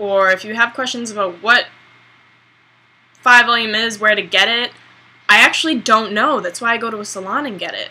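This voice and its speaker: In a bright, sharp tone and a fairly high pitch, a woman speaks with fairly even intonation, big swings in loudness and long, frequent pauses. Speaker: beauty vlogger. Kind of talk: hair tutorial vlog. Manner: slow; casual, hesitant with many ums.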